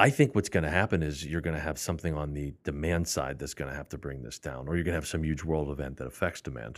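A man with an American accent talks at a very fast pace with hardly any pauses, a very deep, low pitch, and vocal fry. His intonation is fairly even, on a very clean recording with a silent background. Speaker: metals trading executive. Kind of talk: casual chat.

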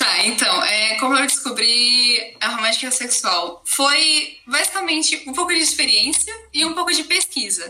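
High-pitched woman with a raised, projected voice and very wide pitch swings, at a moderate pace with hardly any pauses, over noticeable background noise. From Brazil, Campinas area (São Paulo interior). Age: 20s. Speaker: university student, podcast guest. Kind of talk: interview conversation.

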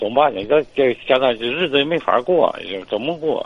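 Moderate pacing and ordinary pitch variation amid noticeable background noise. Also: man. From Hebei, China. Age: 50s. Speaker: caller. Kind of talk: call-in advice. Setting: phone call. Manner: halting.

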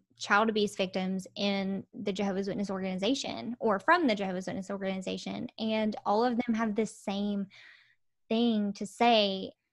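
In a Southern US accent, a woman talks at a moderate pace and medium pitch on a very clean recording with a silent background. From Alabama. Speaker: video marketer and cooking YouTuber. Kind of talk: casual chat.

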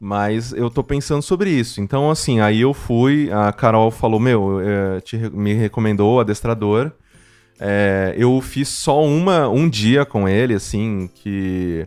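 Ordinary pitch variation marks this man's medium-pitched voice. He talks at a very slow pace. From Mococa, São Paulo state, Brazil. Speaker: podcast producer and podcaster. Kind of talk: casual chat. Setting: remote call.

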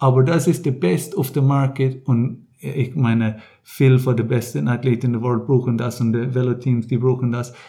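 A man's medium-pitched, somewhat breathy voice with a dark, mellow tone, fairly even intonation and a moderate pace. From Ireland and the Netherlands. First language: English (speaking German). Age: 30s. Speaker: triathlete and coach. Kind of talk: interview. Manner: halting.

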